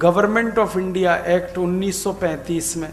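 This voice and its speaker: Over noticeable background noise, a man talks in a high pitch. His intonation stays fairly even. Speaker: public lecturer / orator. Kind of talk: public lecture at a Hindi Day event. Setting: live stage event addressing an audience. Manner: passionate, persuasive oratory.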